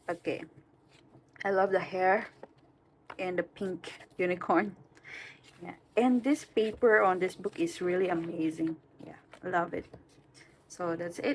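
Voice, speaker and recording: With long, frequent pauses and big swings in loudness, a woman with a non-native accent speaks at a fairly slow pace with ordinary pitch variation. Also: medium pitch for a woman. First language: not English. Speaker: coloring hobby youtuber. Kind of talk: casual vlog talk. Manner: halting, many fillers.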